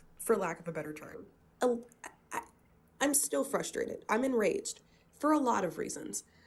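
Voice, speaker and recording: The pace is moderate. Long pauses come often. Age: 20s. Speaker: political science student, call-in guest. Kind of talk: political debate.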